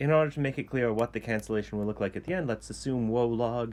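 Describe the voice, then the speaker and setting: A man speaks at a fairly quick pace in a normal speaking voice, fairly low in pitch, with ordinary pitch variation. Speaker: math professor. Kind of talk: lecture.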